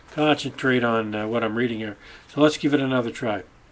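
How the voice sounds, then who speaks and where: A man speaks at a fairly quick pace. Noticeable background noise is present. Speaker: vlogger reading own writing. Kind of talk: reading aloud. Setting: webcam recording. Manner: hesitant, many fillers.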